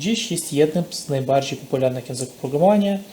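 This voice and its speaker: In a non-native accent, the speaker uses ordinary pitch variation over noticeable background noise. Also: man. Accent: non-native accent in Polish. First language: not Polish (speaking Polish). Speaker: programming course instructor. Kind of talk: tutorial.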